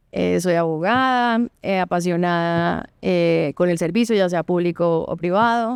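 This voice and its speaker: A woman's fairly low voice in a Colombian coastal accent, with ordinary pitch variation, very even loudness, hardly any pauses and a fairly slow pace, on a very clean recording with a silent background. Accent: Valledupar (costeño). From Colombian Caribbean coast, Valledupar. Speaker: lawyer and board member. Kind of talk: podcast interview.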